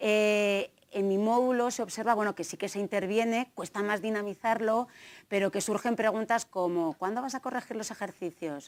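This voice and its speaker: A woman with a slight Navarrese accent speaks at a moderate pace in a fairly high pitch with fairly even intonation, in a very clean recording with a silent background. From Navarre, Spain (Tafalla, central Navarre). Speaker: gender equality trainer and researcher. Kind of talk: conference talk.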